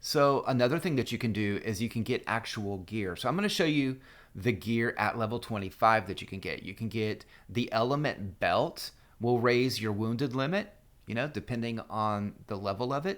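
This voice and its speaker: This is a plain, everyday voice with ordinary pitch variation, moving at a moderate pace. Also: man, medium pitch for a man. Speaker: gaming guide youtuber. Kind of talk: tutorial.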